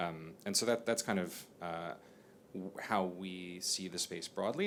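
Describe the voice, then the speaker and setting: This man with an American accent has a very deep, low pitch, fairly even intonation, and a moderate pace. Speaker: bank chief executive. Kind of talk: panel discussion. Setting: stage with audience.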